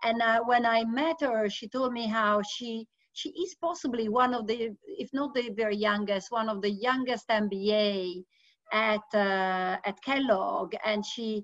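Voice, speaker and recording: Against a quiet background, a woman speaks at a fairly slow pace with ordinary pitch variation, the sound dry with no echo. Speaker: host introducing a guest. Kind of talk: event introduction. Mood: warm, admiring. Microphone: video call.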